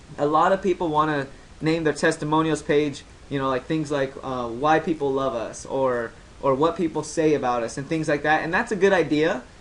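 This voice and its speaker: A voice at a fairly quick pace, with noticeable background noise behind it. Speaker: web marketing instructor. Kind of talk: tutorial. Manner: fast.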